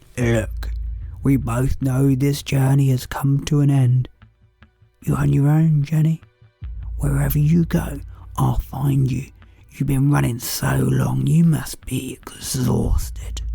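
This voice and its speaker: A man speaks in a put-on character voice. He goes at a fairly slow pace, with faint music in the background. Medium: read story. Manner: menacing, controlled.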